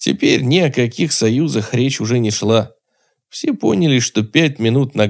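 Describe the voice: A quiet background behind plain reading aloud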